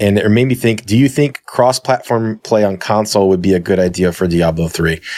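Talking at a fairly quick pace with hardly any pauses, a man with a plain, everyday voice speaks in a fairly low pitch with ordinary pitch variation. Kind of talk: casual chat. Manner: casual.

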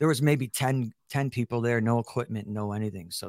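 A man talks at a moderate pace with a Chicago accent and fairly even intonation. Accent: Chicago American. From Chicago, South Side. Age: 40s. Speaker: military veteran and podcaster. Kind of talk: casual interview.

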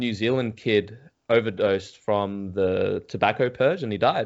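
With an Australian accent, this man talks. He keeps a fairly slow pace. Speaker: psychedelics YouTuber. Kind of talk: casual chat.

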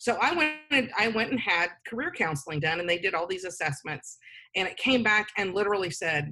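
With a normal speaking voice at a medium pitch, a woman talks at a fairly quick pace with lively intonation. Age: 50s. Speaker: nonprofit executive director. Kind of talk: interview.

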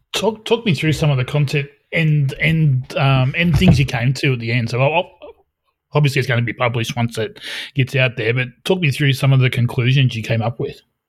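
A man with an Australian accent, somewhat breathy, at a fairly quick pace. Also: medium pitch for a man, ordinary pitch variation. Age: 40s. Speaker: podcast host. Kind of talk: casual chat.

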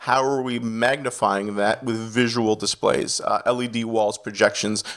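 A man with a slight Canadian accent speaks at a moderate pace, medium in pitch with fairly even intonation. The recording is very clean, with a silent background. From Canada (Ontario). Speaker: executive pastor and video director. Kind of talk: interview.

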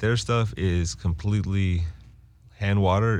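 A man's very deep, low voice with an American accent, ordinary pitch variation, and audible room echo. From Winston-Salem, North Carolina. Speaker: cannabis brand representative. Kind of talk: casual chat.

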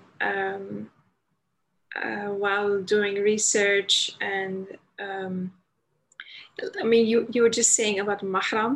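A woman speaks with a Dutch accent at a fairly slow pace. Her intonation stays fairly even. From Netherlands, Amsterdam. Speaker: convert guest. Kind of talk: casual chat. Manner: halting.

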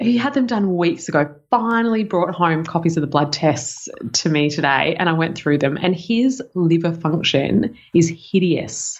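Speaking with an Australian accent, a woman with a fairly low voice uses lively intonation and hardly any pauses. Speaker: health podcast co-host. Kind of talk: casual chat. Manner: quiet; fast.

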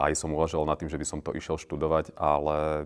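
Speaking at a fairly quick pace, a man has a very deep, low voice. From Slovakia, Orava region (Námestovo). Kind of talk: casual interview.

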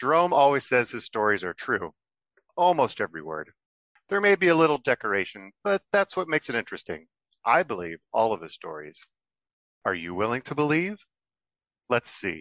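With vocal fry and very wide pitch swings, a man talks at a fairly quick pace, broken by long, frequent pauses. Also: medium pitch for a man. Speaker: narrator. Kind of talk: scripted narration.

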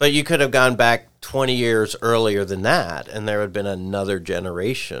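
A man talks in an unremarkable speaking voice at a fairly low pitch with ordinary pitch variation. He keeps a moderate pace with hardly any pauses. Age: 60s. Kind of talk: casual chat.

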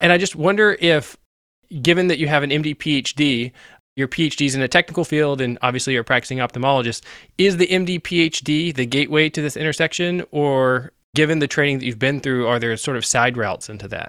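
Recorded very cleanly against a silent background, with a dry, close sound and no echo, the voice moves at a very fast pace with ordinary pitch variation. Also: man, fairly high pitch for a man. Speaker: podcast co-host. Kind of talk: podcast interview.

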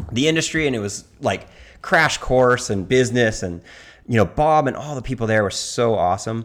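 A man talks at a moderate pace with a Southern California accent and a medium pitch. His intonation is lively, and the recording is very clean with a silent background. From US West Coast. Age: 50s. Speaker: surfer and surf magazine editor. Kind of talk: casual chat.

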